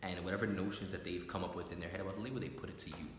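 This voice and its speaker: A man talks with a very deep, low pitch and ordinary pitch variation. Noticeable background noise runs under the recording. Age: 20s. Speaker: court training and education associate. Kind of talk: interview answer.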